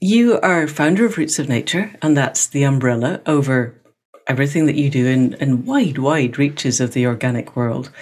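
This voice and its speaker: A woman's very deep, low voice with lively intonation, very even loudness and a moderate pace. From Scotland. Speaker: podcast host. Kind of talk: scripted introduction; interview conversation.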